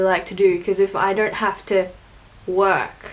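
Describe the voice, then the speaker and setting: Amid noticeable background noise, a woman talks at a very slow pace with a medium pitch and fairly even intonation. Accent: Australian. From Australia, Filipino family. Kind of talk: casual vlog, answering tag questions.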